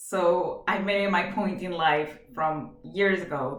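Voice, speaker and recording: In a Venezuelan accent, a woman speaks at a fairly low pitch with ordinary pitch variation, and audible room echo surrounds her. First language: Spanish. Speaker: job applicant. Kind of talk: video job application. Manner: hesitant, many fillers; energetic.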